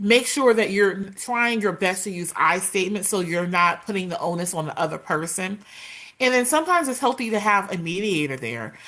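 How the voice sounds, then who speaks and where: Speaking fairly quickly, a woman uses lively intonation at a medium pitch. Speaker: workplace culture advocate and speaker. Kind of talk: interview. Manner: loud.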